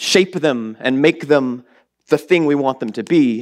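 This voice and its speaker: With a Southern US accent, a man speaks at a fairly slow pace in a fairly high pitch with ordinary pitch variation. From US South. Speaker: lay preacher. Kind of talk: sermon. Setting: church. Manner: animated.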